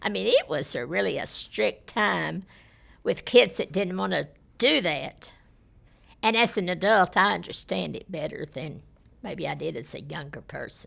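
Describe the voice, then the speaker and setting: A woman speaks in a Texan accent. Her pace is moderate. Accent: Texan Southern US. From Texas, Fort Worth area. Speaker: former school board member. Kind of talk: oral history interview.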